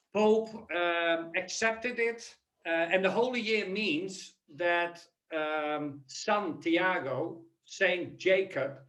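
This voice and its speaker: A man with a high pitch speaks with a Dutch accent. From Netherlands. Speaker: human capital consultant and keynote speaker. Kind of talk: webinar presentation.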